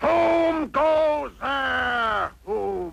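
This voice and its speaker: A man's cartoonish character voice at an extremely high pitch. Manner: gruff, slow.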